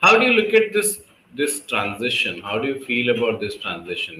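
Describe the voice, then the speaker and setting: A man with an Indian accent speaks at a moderate pace. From Delhi, India. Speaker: public speaking coach and English tutor. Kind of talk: conversation practice session.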